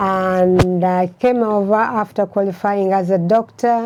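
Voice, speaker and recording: A woman's dark, mellow, medium-pitched voice at a very slow pace, with fairly even intonation. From Uganda. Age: 70s. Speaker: retired doctor. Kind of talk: casual chat.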